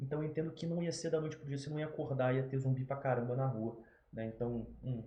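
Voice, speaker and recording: A man talks very fast in a Rio de Janeiro accent, his pitch medium and his intonation fairly even. The room echo is audible. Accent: carioca (Rio de Janeiro). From Brazil, Rio de Janeiro. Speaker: YouTuber. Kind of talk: casual unscripted commentary. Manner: casual, filler-heavy.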